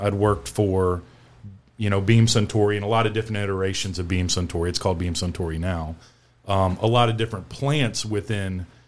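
With an American accent, a man of fairly low pitch speaks at a fairly quick pace using fairly even intonation. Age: 50s. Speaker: master distiller and distillery co-founder. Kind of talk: casual chat.

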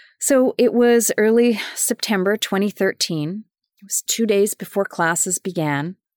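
A woman's ordinary speaking voice at medium pitch and a fairly slow pace, with ordinary pitch variation and a dry, close sound with no echo. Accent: Canadian. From Winnipeg, Manitoba, Canada. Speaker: podcast host, sustainability professional. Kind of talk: personal storytelling monologue.

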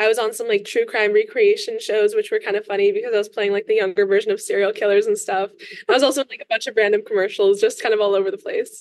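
Talking at a very fast pace with hardly any pauses, a woman speaks with an American accent. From Los Angeles. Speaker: singer-songwriter. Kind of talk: casual interview.

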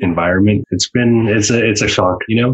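With fairly even intonation, the speaker sounds somewhat breathy. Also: man. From Vancouver Island, British Columbia, First Nation. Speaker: filmmaker, comedian and poet. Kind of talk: interview.

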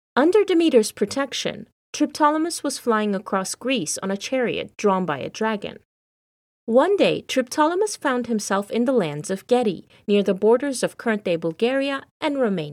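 With a dramatic tone and very wide pitch swings, a woman speaks in a very clean recording with a silent background. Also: fairly high pitch for a woman, moderate pace. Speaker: podcast host and storyteller. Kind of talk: mythic storytelling narration, scripted-sounding and dramatic; scripted podcast monologue, educational and chatty. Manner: expressive, measured storyteller's pacing with dramatic emphasis.

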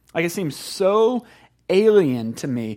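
Recorded very cleanly against a silent background, a man talks with a slight Southern US accent. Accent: country Southern US, slight. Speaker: pastor. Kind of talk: sermon. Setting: church. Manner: conversational, informal.

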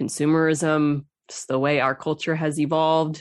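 Against a quiet background, a woman talks at a moderate pace in a very deep, low pitch. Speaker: podcast host. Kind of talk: interview conversation.

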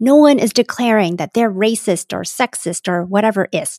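A woman with an unremarkable speaking voice and a Canadian accent talks at a fairly high pitch and moderate pace, her intonation lively, on a very clean recording with a silent background and a dry, close sound with no echo. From Canada. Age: middle-aged. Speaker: podcast host and diversity coach. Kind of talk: scripted narration.

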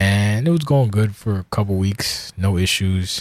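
In an American accent, a man speaks at a fairly slow pace. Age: 40s. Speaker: podcast host. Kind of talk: casual solo monologue. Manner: sounds slurred, like inebriated.

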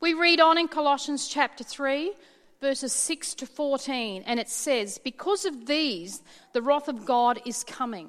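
A woman with an Australian accent speaks in a high voice with lively intonation. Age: 50s. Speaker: pastor. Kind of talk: sermon.

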